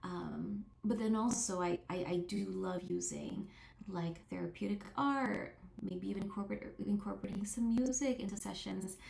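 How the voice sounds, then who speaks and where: In a room with audible echo, a woman speaks with a non-native accent. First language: not English. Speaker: therapist. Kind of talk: interview monologue. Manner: halting, many fillers and restarts.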